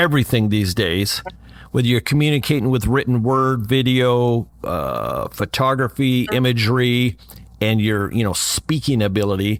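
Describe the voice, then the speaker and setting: In an ordinary speaking voice, a man talks at a moderate pace and medium pitch, with ordinary pitch variation and very even loudness. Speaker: podcast host, former radio host. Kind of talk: podcast interview.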